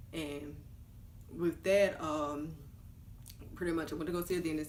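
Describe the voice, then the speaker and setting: A woman with an American accent speaks at a fairly low pitch with fairly even intonation. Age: 20s. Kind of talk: casual talk to camera. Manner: chatty.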